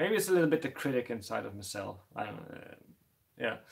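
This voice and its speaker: A man with a Dutch accent and very wide pitch swings. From Netherlands. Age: 30s. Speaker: tarantula keeper YouTuber. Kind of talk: live stream chat. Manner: halting, many fillers and repeats.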